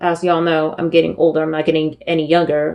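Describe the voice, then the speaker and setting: A woman speaks with a Spanish accent. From San Francisco Bay Area, California. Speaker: wrestling podcast host. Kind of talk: podcast commentary. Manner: many filler words.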